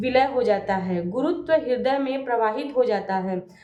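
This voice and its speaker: A woman at a high pitch with ordinary pitch variation, a very slow pace and audible room echo. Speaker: devotional video blogger. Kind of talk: casual video intro; reading aloud of scripture commentary. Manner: halting, with restarts.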